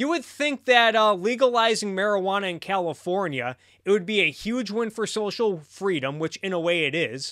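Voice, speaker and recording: Lively intonation and a bright, sharp tone carry the delivery at a moderate pace with hardly any pauses. The background is quiet. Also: man. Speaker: streamer commentator. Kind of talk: political commentary.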